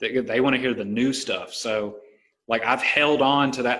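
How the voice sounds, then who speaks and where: A man speaks in a Southern US accent with a bright, sharp tone. His intonation stays monotone and flat. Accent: Southern American. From US South, Alabama. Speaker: podcast host and stand-up comedian. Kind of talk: casual chat.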